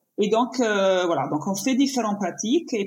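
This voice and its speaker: A woman's voice at a very slow pace, with ordinary pitch variation. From Italy. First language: Italian (speaking French). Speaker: painter and yoga teacher. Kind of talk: interview conversation. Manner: halting.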